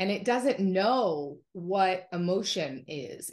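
This is a woman's voice. The background is quiet. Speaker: podcast guest. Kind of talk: interview answer. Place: home room. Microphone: video call.

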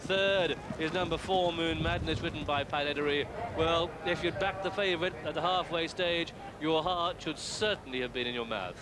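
Amid noticeable background noise, a man with a British accent and a high pitch talks at a moderate pace with ordinary pitch variation. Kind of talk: live horse race commentary. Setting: racecourse commentary box, broadcast. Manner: British, precise and clipped, with chatty asides mid-race.

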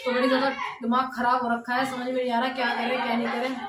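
Very fast, flat, monotone speech from a woman at a fairly high pitch, with clear background noise.

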